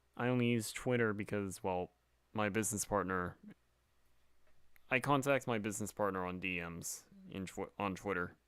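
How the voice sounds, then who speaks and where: The recording is very clean, with a silent background. A man speaks at a moderate pace with a fairly low pitch and ordinary pitch variation. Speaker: game developer streamer. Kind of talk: casual live stream chat. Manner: soft-spoken.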